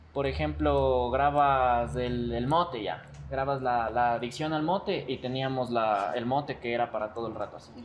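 Ordinary pitch variation and moderate speed in a plain, everyday voice. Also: man. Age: 20s. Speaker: video content creator. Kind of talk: casual chat.

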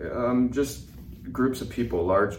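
Noticeable background noise sits behind the voice. The pace stays moderate. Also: man. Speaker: veteran and speaker. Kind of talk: interview conversation.

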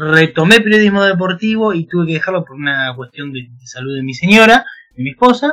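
A man with an Argentine accent uses a raised, projected voice at a high pitch. Music plays in the background. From Argentina. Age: 30s. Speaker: football writer. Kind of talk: interview.

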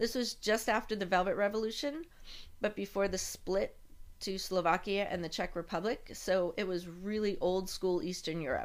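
Her pitch sits at a medium level for a woman in a plain, everyday voice, with ordinary pitch variation, a fairly quick pace, and a very clean recording against a silent background. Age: 50s. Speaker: podcast host. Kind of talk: personal storytelling monologue.

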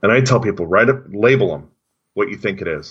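His pitch shifts in an ordinary way. The man's speech keeps a moderate pace. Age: 40s. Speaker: former college resident director. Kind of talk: casual chat. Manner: halting.

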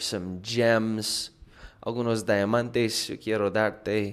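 A man with a normal speaking voice talks at a medium pitch and a fairly slow pace. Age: 30s. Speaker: music producer and podcast host. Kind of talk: solo casual monologue. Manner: casual, relaxed.

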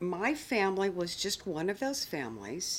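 A woman with a plain, everyday voice and an American accent, medium-pitched with lively intonation at a fairly slow pace, on a very clean recording with a silent background. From US South, outside Atlanta, Georgia. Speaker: interviewee sharing a DNA discovery story. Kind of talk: testimony.

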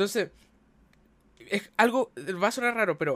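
Here a man speaks with a Chilean accent, high in pitch and with lively intonation. The sound is dry and close, with no echo. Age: 20s. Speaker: architect and streamer. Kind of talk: casual chat.

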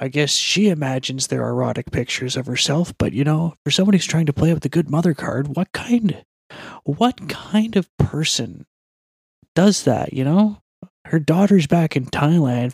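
A man's quiet, somewhat breathy voice, fairly high in pitch with ordinary pitch variation at a moderate pace, in a dry, close recording with no echo. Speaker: MMA podcast segment host. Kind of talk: casual commentary.

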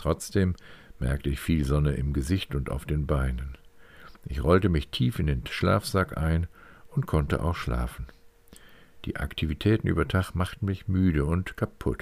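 A man speaks fairly slowly in a very deep, low voice with vocal fry and ordinary pitch variation. His pauses are long and frequent. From northwestern Germany, County of Bentheim. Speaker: podcast host and author. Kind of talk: scripted narration.

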